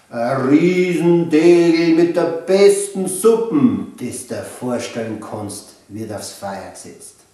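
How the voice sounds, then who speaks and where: A man with a Bavarian accent and a high pitch speaks at a very slow pace, his pitch swinging very widely. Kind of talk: children's book reading.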